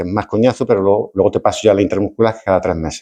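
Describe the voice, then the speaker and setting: Against a quiet background, a man talks at a very fast pace with a dark, mellow tone and fairly low pitch. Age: 60s. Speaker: retired doctor. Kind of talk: lecture. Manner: halting, repeats words.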